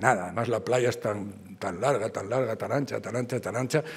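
A man talks fairly quickly. His voice comes across as somewhat breathy. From Spain. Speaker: art history professor. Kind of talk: lecture. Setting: auditorium with audience. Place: hall. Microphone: podium.

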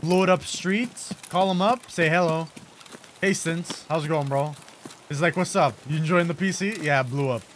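A high-pitched man at a moderate pace with ordinary pitch variation, over noticeable background noise. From Malta. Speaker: gaming streamer. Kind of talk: casual gameplay commentary. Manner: animated.

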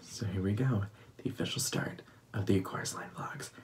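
A man whispering at a moderate pace. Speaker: vlogger and stage performer. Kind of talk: vlog, casual monologue to camera. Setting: home, filming vlog. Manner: animated, excitable. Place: home room. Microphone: phone near.

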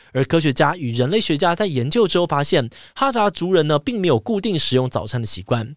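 A man with very wide pitch swings, in a dry sound with no echo and a quiet background. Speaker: podcast host. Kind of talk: explainer podcast talk. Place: studio. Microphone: studio mic.

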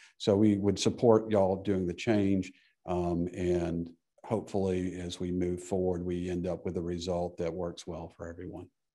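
Against a quiet background, the voice is dark and mellow, moving at a moderate pace in a monotone, flat intonation. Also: man, very deep, low pitch for a man. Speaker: public witness. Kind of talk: committee testimony. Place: hall. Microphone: podium.

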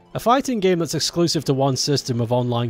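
Music plays in the background as a man speaks in a British accent. His pace is fairly quick and his intonation lively. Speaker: streamer. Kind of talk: casual live stream chat. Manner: animated.

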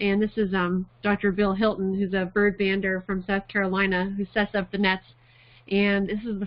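A woman speaks with monotone, flat intonation. Her pace is moderate and the background is quiet. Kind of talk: lecture. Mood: warm, amused. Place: home room. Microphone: webcam.

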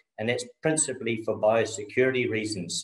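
With a New Zealand accent and a somewhat breathy sound, a man talks at a medium pitch and moderate pace, with audible room echo over a quiet background. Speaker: dairy farmer. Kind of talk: conference presentation. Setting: video call. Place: home room. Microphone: video call.

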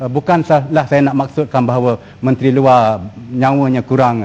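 This man's tone is dark and mellow. He keeps a moderate pace at a medium pitch. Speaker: member of parliament. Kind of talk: parliamentary question. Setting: parliament chamber. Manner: hesitant with fillers.

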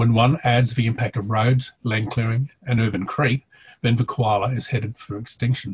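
Light background noise runs under this recording. A man with an Australian accent speaks in a somewhat breathy voice. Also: medium pitch for a man, fairly even intonation, moderate pace. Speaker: environmental scientist and academic. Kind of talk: pre-recorded presentation. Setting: video call. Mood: somber, concerned. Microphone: headset.

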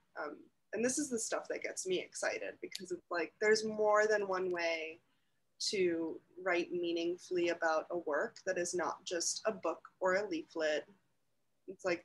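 A woman speaks at a fairly slow pace. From Toronto, Canada. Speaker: curator and writer. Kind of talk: casual chat. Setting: video call. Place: home room. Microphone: video call.

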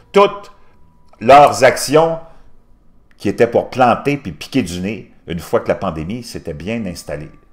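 Against a quiet background, a man with vocal fry speaks at a moderate pace, his pitch swinging very widely. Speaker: news commentator youtuber. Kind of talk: commentary.

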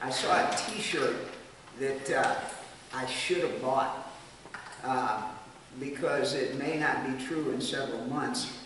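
A man speaks very slowly, with long, frequent pauses and ordinary pitch variation. Strong room echo and noticeable background noise surround him. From United States. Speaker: missionary. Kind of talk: Sunday school Bible teaching. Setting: church. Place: hall. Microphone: camera far.

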